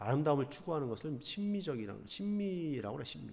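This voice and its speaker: Amid audible room echo, a man talks at a very fast pace with a fairly high pitch and very wide pitch swings. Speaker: high school teacher. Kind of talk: online class lecture. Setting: recorded online lesson.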